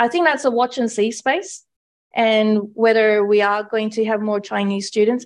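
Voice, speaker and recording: A woman with a plain, everyday voice talks at a moderate pace, her pitch fairly high with ordinary variation. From Canada, Indian background. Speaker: university lecturer in public health. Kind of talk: panel discussion.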